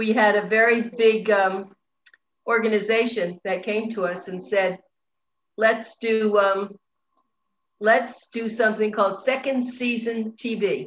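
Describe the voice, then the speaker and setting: The speech comes at a fairly slow pace in a monotone, flat way, with long, frequent pauses and light background noise. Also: woman. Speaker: online show host. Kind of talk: interview. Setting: video call. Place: home room. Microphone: video call.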